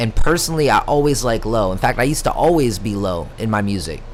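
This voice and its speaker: A man's voice with audible room echo. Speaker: horrorcore rapper streaming. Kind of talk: live stream casual chat. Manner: talkative.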